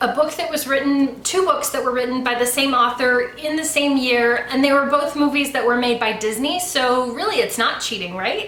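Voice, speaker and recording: A woman with an American accent talks at a moderate pace in a raised, projected voice, her pitch high with ordinary variation. Audible room echo and noticeable background noise surround her. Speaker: YouTuber, book and movie reviewer. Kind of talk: casual review monologue. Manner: conversational with fillers.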